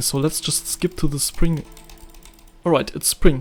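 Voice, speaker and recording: A fairly high male voice in a German accent, with music in the background. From Germany. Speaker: indie game developer. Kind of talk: tutorial. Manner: halting.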